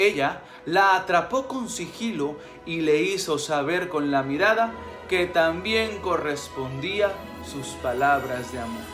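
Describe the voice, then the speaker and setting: A man speaks at a very slow pace while clear music plays in the background. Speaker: storyteller. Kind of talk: storytelling narration. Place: home room. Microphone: phone near.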